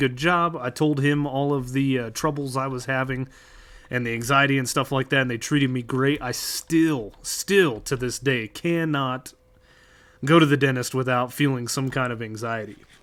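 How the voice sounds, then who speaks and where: A man talks in a normal speaking voice with an American accent. His pitch is fairly high, his intonation fairly even, and his pace moderate. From United States. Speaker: streamer. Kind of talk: casual chat. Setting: livestream.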